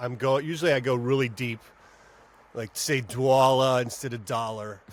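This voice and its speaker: In an American accent, a man with an ordinary speaking voice talks at a medium pitch and a moderate pace. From US South, Georgia. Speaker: voice actor and comedian. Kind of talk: casual chat.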